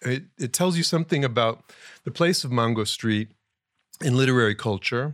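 A man speaks at a fairly quick pace and a medium pitch, with lively intonation. The recording is very clean, with a silent background. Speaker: writer of introduction. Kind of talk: interview conversation. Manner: formal, thoughtful.

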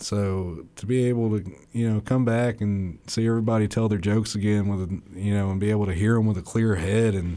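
Speaking in a Southern US accent, a man has a dark, mellow tone and fairly even intonation. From northern Alabama (Limestone County). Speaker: stand-up comedian. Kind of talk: interview.

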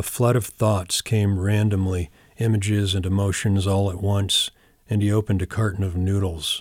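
In a very clean recording with a silent background, a man speaks at a moderate pace with fairly low pitch and an ordinary speaking voice. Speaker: poet. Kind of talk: poetry reading, deadpan literary delivery of a surreal poem.

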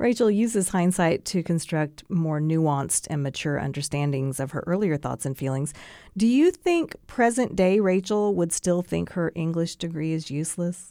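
Over a silent background in a very clean recording, a woman's dark, mellow, fairly low voice moves at a moderate pace with lively intonation and hardly any pauses. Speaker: radio host. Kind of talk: interview. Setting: studio.

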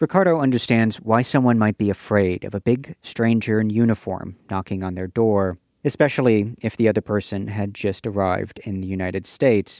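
A man with an unremarkable speaking voice talks at a fairly quick pace with hardly any pauses, a fairly low pitch and ordinary pitch variation, in a dry, close sound with no echo. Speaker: podcast reporter and narrator. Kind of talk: scripted narration.

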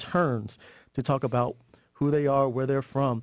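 A man with a plain, everyday voice, medium in pitch, at a moderate pace over a quiet background. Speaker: hip-hop educator, organization co-founder. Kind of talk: interview.

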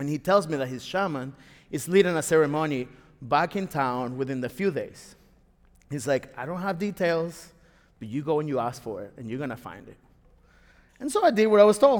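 A man with a Spanish accent talks at a fairly quick pace with a fairly high pitch and lively intonation. His loudness swings widely, and his pauses are long and frequent. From Venezuela, Caracas. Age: 40s. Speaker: storyteller. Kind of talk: live storytelling. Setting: stage with audience.

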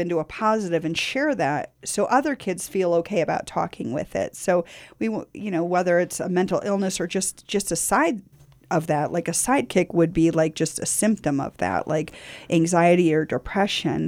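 A woman with a plain, everyday voice and a fairly low pitch speaks at a moderate pace in a very clean recording with a silent background. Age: 50s. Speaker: community radio host and nonprofit founder. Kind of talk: casual conversation. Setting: radio studio.

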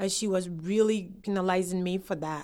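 A woman with a Ghanaian accent at a fairly quick pace, in a very clean recording over a silent background. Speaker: immigrant. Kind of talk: interview testimony.

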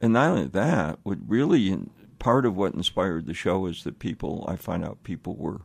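Over a silent background in a very clean recording, a man speaks with a very deep, low pitch and vocal fry. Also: moderate pace. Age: 80s+. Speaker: blind travel show host, journalist. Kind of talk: interview. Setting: radio studio.

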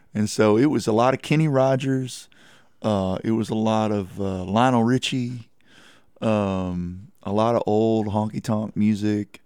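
On a very clean recording with a silent background, a man with a Texan accent speaks at a fairly low pitch in a dark, mellow tone with fairly even intonation. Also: fairly slow pace. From Texas Hill Country (Kerrville). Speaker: singer-songwriter. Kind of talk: radio interview.

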